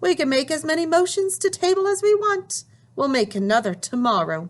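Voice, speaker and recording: A woman uses a squeaky, put-on character voice at an extremely high pitch. She talks at a fairly quick pace with very wide pitch swings. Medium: read story. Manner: haughty, scornful.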